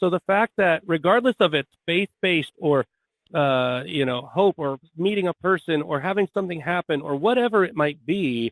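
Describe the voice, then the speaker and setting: This man's pitch is high. He talks at a moderate pace with lively intonation. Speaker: podcast host. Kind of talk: casual conversational talk.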